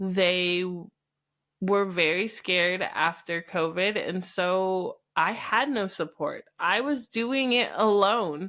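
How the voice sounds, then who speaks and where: Speaking very slowly, a woman with an American accent has a medium pitch and a bright, sharp tone. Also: very clean recording, silent background. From US West, Idaho. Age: 30s. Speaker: podcast host. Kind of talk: personal storytelling monologue.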